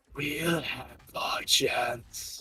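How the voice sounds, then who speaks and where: A man puts on a character voice. It sounds raspy. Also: fairly high pitch for a man. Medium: actual play.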